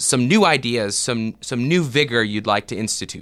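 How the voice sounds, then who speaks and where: In a normal speaking voice with an American accent, a man talks at a moderate pace and medium pitch with lively intonation, recorded very cleanly against a silent background. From US South. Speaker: podcast host and theology professor. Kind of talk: interview.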